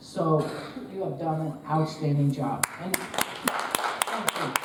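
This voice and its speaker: A woman with an American accent speaks at a fairly low pitch in fairly even intonation. Noticeable background noise and audible room echo surround her. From New Jersey. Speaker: retired basketball coach. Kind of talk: panel discussion.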